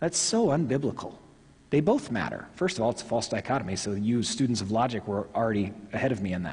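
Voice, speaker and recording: This man speaks very fast with lively intonation and an American accent. His voice is somewhat breathy. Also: medium pitch for a man. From Oklahoma, Tulsa. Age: 40s. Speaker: pastor. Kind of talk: sermon. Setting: church.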